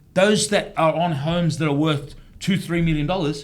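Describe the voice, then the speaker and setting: A man's high-pitched voice in an Australian accent at a moderate pace. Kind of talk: casual panel discussion. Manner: animated.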